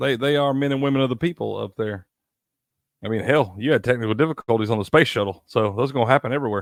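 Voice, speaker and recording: Talking at a very fast pace, a man with a strong Southern US accent uses a medium pitch and ordinary pitch variation. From US South, Tennessee. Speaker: sports show co-host. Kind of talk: casual chat.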